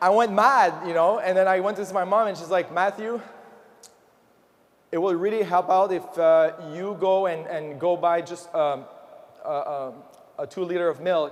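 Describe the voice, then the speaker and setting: A man's high voice with a French Canadian accent, at a moderate pace with ordinary pitch variation and long, frequent pauses. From Quebec, Montreal. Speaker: motivational speaker. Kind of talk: motivational speech. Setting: stage with audience. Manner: animated.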